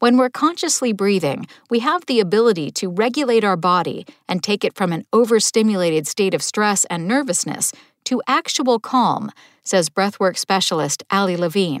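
A woman's plain, everyday voice at medium pitch, lively intonation and a moderate pace, on a very clean recording with a silent background. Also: dry, close sound with no echo. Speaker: daily tip podcast host. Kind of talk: guided breathing exercise.

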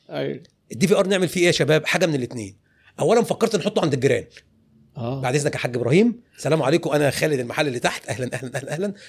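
Very fast, lively speech from a man with a fairly high pitch. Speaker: clothing retail business owner. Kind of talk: interview.

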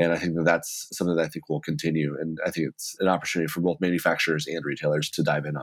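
Speaking very fast in a very deep, low pitch, a man with an American accent keeps a monotone, flat intonation. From Texas. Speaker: tech startup co-founder. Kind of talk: interview.

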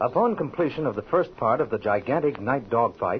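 A man with a fairly high pitch swings it very widely while talking at a moderate speed. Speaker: announcer. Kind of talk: scripted narration.

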